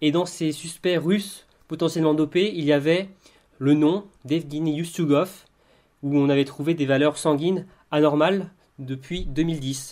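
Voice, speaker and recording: Pausing long and often, a man speaks at a fairly slow pace in a fairly high pitch with fairly even intonation. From Brittany. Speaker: podcast co-host. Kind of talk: casual chat.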